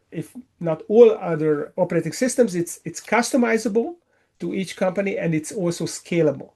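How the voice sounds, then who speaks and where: A man's high-pitched voice, dark and mellow in tone, moves at a fairly slow pace over a quiet background. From Hungary. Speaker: business coach. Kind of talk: interview answer.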